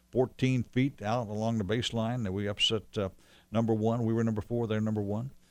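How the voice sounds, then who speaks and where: A man speaks at a medium pitch with fairly even intonation in a very clean recording with a silent background. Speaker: former college basketball radio play-by-play announcer. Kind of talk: casual interview chat.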